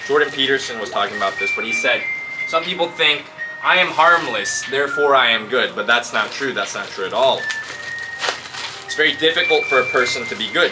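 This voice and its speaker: A man talking at a fairly quick pace over background music. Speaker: vlogger. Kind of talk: casual vlog chat. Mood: motivated, philosophical. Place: garden. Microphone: camera far.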